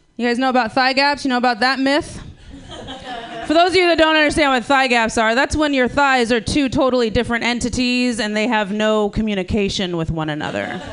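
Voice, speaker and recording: Lively intonation at a fairly quick pace amid noticeable background noise. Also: woman, high pitch for a woman. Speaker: comedian. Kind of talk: stand-up banter. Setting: stage with audience.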